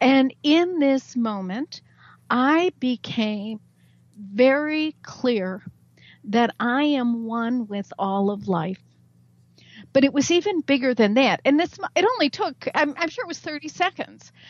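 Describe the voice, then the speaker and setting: Pitch swings very widely in this very slow delivery with an American accent, its sound dry and close with no echo over a quiet background. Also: woman, high pitch for a woman. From US Midwest, Chicago. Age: 60s. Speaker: spiritual author and teacher. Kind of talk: radio interview. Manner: halting.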